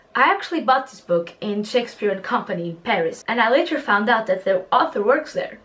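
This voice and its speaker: The speech runs at a fairly quick pace with hardly any pauses and very wide pitch swings. Noticeable background noise sits behind it. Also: woman, fairly high pitch for a woman. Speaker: book vlogger. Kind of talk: casual vlog. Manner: animated.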